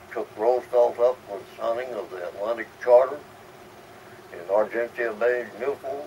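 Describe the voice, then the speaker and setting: Over noticeable background noise, a man speaks at a medium pitch and moderate pace with ordinary pitch variation. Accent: American. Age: 80s+. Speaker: WWII Navy veteran. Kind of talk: interview answer.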